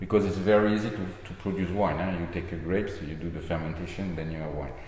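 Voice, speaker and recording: Very fast speech from a man with a French accent, very deep and low in pitch, with fairly even intonation, audible room echo, and noticeable background noise. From France, Medoc. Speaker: wine estate owner. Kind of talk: casual interview. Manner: halting.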